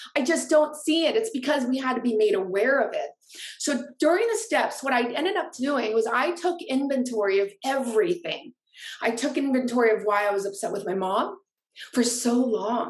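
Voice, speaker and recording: A woman with an American accent, high-pitched and lively in intonation, at a moderate pace. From Orange County, California. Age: 40s. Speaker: author and life coach. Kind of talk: personal testimony.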